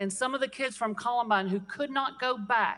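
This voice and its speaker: A woman's ordinary speaking voice, an ordinary speaking voice at a moderate pace with fairly even intonation. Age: 60s. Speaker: state legislator. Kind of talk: floor speech. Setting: legislative chamber.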